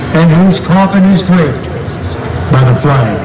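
The pace is fairly slow. Noticeable noise sits in the background. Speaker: event announcer. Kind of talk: patriotic speech. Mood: solemn, patriotic. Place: stadium.

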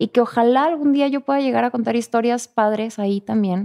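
Against a quiet background, a woman speaks at a fairly high pitch with a dark, mellow tone. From northern Mexico. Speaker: actress. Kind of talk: casual interview. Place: studio. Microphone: studio mic.

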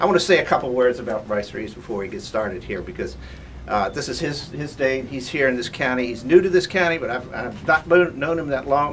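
A man's medium-pitched voice at a fairly quick pace, lively intonation and big swings in loudness, amid noticeable background noise. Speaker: local county official. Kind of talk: rally speech.

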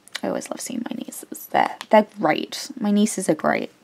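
Her fairly high voice carries vocal fry as the woman speaks at a moderate pace. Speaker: craft hobby vlogger. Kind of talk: casual chat. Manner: rambling with many fillers.

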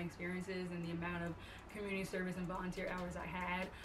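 Over noticeable background noise, a woman with an American accent speaks fairly quickly in a monotone, flat intonation. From Long Island, New York. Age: 20s. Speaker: incoming medical student and online fitness coach. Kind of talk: casual talk to camera. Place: home room.

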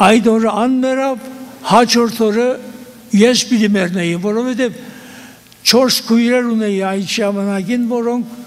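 Audible room echo and noticeable background noise accompany a man speaking at an extremely high pitch with fairly even intonation. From eastern Turkey (Western Armenian). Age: 80s+. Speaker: genocide survivor. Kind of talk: testimony.

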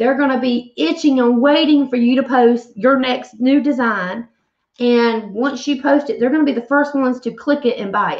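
This woman has a Southern US accent and a high-pitched voice. She talks at a moderate pace. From US South. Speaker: craft painter and online seller. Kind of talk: casual live-stream chat while painting. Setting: live stream, wearing earbuds. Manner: friendly, chatty, animated. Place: home room. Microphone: webcam.

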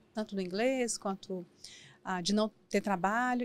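The intonation of this woman is lively. Her voice has a dry sound with no echo. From Brazil, Minas Gerais (Valadares) and São Paulo; Minas Gerais, Brazil. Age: 40s. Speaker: businesswoman and mentor; podcast guest. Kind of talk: interview. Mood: reflective, personal storytelling. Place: studio. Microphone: studio mic.

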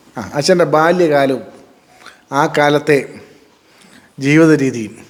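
Fairly high pitch in a man's a normal speaking voice, plus ordinary pitch variation. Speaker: advocate. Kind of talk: interviewer questions to parent.

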